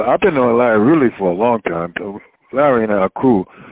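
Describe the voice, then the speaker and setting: Using ordinary pitch variation, a man with a Southern US accent speaks at a medium pitch and a fairly quick pace. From North Carolina, Wilmington. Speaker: radio announcer and jazz writer. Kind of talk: interview.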